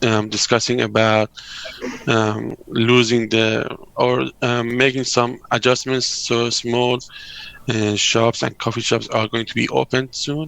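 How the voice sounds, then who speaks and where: A man speaks at a fairly slow pace in a medium pitch. His delivery is monotone and flat, with noticeable background noise. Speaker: architecture academic. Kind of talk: video call panel discussion. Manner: halting with many fillers.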